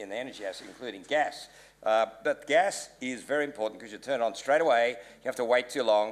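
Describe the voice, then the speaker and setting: A man with an Australian accent talks at a very fast pace, his medium pitch showing ordinary variation. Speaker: panelist, business advisor. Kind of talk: panel discussion.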